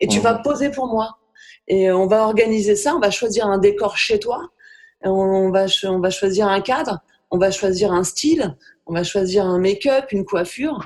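Using a normal speaking voice, a woman talks at a medium pitch and a moderate pace with ordinary pitch variation. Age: 40s. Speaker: photographer. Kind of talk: casual chat.

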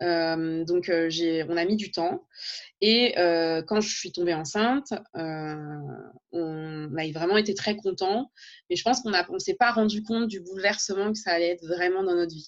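A woman's fairly low voice with ordinary pitch variation, at a fairly slow pace. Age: 30s. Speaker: teacher and blogger. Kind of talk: interview conversation. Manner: hesitant, with many fillers.

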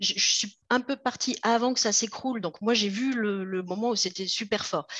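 The speaker's pitch varies in an ordinary way. The pace is very slow. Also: woman. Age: 50s. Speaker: roller skater and magazine founder. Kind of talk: interview.

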